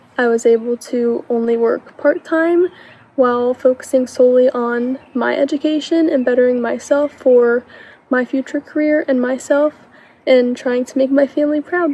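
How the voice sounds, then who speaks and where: A woman's high voice with an American accent, fairly even intonation and a moderate pace, in a dry, close sound with no echo and noticeable background noise. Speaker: scholarship recipient, college student. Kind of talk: recorded testimonial.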